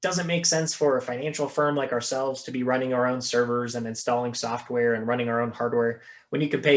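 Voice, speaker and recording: A man talks at a very fast pace with hardly any pauses. His pitch is medium and his intonation fairly even. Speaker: investment strategist presenter. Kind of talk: webinar presentation. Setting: video call.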